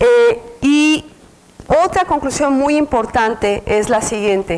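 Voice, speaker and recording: Very slow speech with very wide pitch swings over noticeable background noise. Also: woman, high pitch for a woman. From Mexico City. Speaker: researcher lecturer. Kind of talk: lecture. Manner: halting, many fillers.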